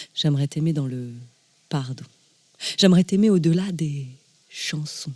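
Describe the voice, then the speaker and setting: A woman with a plain, everyday voice speaks with ordinary pitch variation in a dry, close sound with no echo. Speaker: slam poet. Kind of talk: spoken word poetry.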